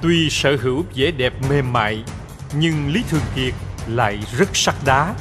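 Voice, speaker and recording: At a very slow pace and very even loudness, a man speaks with music in the background. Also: medium pitch for a man, ordinary pitch variation. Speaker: voice director. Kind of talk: history documentary narration.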